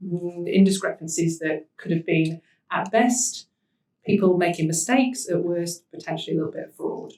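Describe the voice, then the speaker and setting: Somewhat breathy and dark, mellow in tone, a woman's voice moves at a moderate pace with ordinary pitch variation. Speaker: social enterprise managing director. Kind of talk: panel talk.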